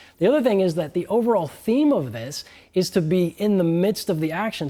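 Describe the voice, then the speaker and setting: The speaker has an animated tone in a very clean recording with a silent background. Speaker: game developer. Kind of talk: livestream interview. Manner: fast.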